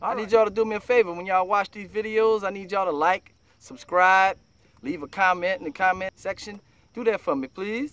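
Loudness swings widely as a man with a high pitch talks at a fairly quick pace, ordinary in pitch variation, on a dry sound with no echo. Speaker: fishing vlogger. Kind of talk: casual vlog chat. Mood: relaxed, laughing. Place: boat. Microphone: phone near.

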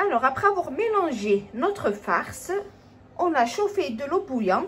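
A woman with a high voice speaks fairly slowly, her pitch swinging very widely, over light background noise. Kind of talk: cooking tutorial. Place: kitchen. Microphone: phone near.

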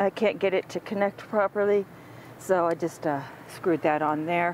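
With ordinary pitch variation and a fairly slow pace, a woman speaks in a dry sound with no echo and light background noise. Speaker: RV owner reviewing product. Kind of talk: tutorial. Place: open country. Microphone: phone near.

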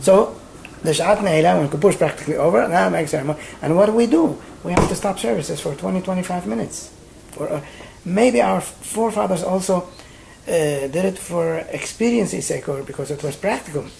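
The speaker moves at a fairly quick pace over light background noise. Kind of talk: interview answer. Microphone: old recording.

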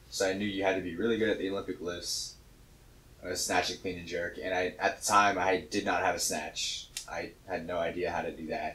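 At a fairly quick pace, a man talks in a very deep, low pitch with monotone, flat intonation. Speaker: weightlifter and CrossFit coach; CrossFit coach. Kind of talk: casual chat. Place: gym.

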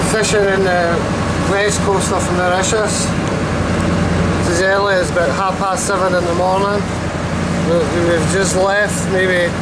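Loud background noise accompanies speech at a fairly slow pace. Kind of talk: casual travel commentary. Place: boat. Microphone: phone near.

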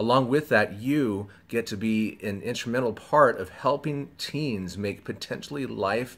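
The man's pitch shifts by an ordinary amount. He talks at a moderate pace. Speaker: pastor. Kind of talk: training talk to volunteers. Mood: warm, encouraging. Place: home room. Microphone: phone near.

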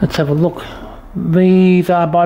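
Speaking at a fairly slow pace, this voice carries an Australian accent. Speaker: auctioneer giving a walkthrough. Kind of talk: solo video walkthrough of auction lots, informal sales pitch. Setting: walking through auction room, recorded on camera. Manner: brisk, casual, list-like patter with short fragments; halting, with frequent 'uh' fillers while walking. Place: shop. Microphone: phone near.

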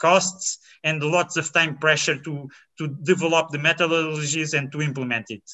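Over a quiet background, a man with a Portuguese accent speaks with fairly even intonation. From Portugal. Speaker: biologist; presenter. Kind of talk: conference talk. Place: home room.

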